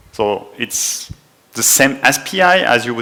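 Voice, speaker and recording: This man speaks at a medium pitch with a French accent, and there is noticeable background noise. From France. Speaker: conference speaker. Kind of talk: technical talk. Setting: conference room with small audience.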